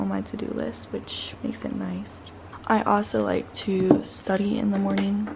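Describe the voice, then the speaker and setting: There is audible room echo and noticeable background noise as a woman talks. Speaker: fitness content creator. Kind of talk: casual vlog narration. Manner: talking quietly.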